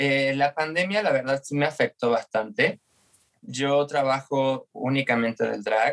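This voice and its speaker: Here a man with a normal speaking voice talks fairly slowly, pitched fairly high, with ordinary pitch variation. The sound is dry and close, with no echo. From Argentina. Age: 30s. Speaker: drag performer and dance teacher. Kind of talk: interview testimony.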